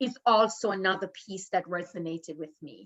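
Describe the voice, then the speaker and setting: A woman speaks in a Jamaican accent. Her pace is moderate. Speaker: professor and qualitative researcher. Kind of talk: panel discussion. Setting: video call.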